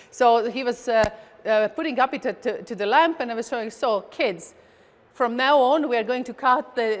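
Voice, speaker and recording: A woman with a Latvian accent speaks at a high pitch and moderate pace with ordinary pitch variation, over noticeable background noise. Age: 40s. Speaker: chess grandmaster. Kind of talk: presentation. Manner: halting, many fillers and repeats.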